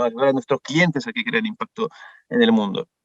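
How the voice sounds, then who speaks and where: A man's pitch swings very widely in a dry, close sound with no echo. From France. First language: French (speaking Spanish). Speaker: management consultant. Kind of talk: workshop presentation. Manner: hesitant, many fillers.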